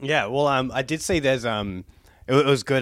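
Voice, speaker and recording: Someone speaks at a moderate pace with an Australian accent and ordinary pitch variation. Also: man. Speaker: podcast host. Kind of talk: casual chat. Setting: video call.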